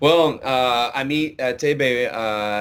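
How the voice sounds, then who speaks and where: A man with a Quebec accent and fairly even intonation. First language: French. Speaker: country singer. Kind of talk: interview. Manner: halting, many fillers.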